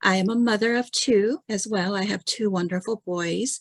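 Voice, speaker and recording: In a very clean, dry and close recording with no echo and a silent background, a woman with a Korean accent speaks at a moderate pace with ordinary pitch variation. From South Korea. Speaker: insurance client service director. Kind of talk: panel discussion.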